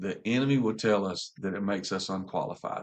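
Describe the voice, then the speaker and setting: A man's voice in a Southern US accent, its pitch moving in an ordinary way. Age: 40s. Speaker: pastor. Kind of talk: casual chat.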